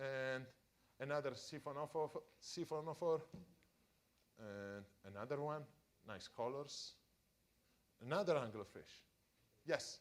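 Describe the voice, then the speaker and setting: With an Italian accent, a man speaks fairly slowly and with long, frequent pauses, his fairly high pitch carried by lively intonation. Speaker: deep-sea scientist. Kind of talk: public science talk for families. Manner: halting.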